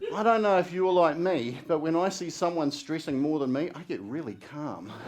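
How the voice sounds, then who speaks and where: Over noticeable background noise, a man with a New Zealand accent speaks at a moderate pace with fairly high pitch and lively intonation. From New Zealand, Wellington. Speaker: public speaking contestant. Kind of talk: contest speech. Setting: stage with audience. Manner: stutters in daily life, not on stage.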